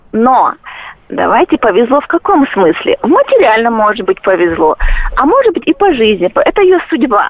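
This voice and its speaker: A woman's high-pitched voice with very wide pitch swings and very even loudness, over noticeable background noise. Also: moderate pace. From Chechnya. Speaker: caller. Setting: phone call.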